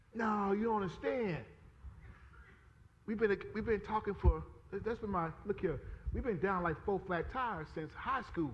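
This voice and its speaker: A loud, animated man at a high pitch with ordinary pitch variation, a moderate pace and long, frequent pauses. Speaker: pastor. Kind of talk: sermon.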